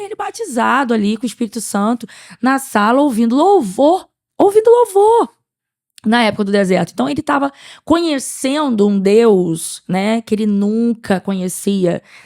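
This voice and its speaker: A woman's animated voice, fairly high in pitch, with lively intonation at a moderate pace, in a dry, close sound without echo. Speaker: church podcast co-host. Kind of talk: testimony.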